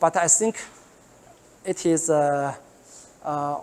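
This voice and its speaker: This woman's voice sits at a very deep, low pitch with ordinary pitch variation. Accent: Chinese. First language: Chinese. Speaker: professor. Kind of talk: lecture. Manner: halting, many fillers and repetitions.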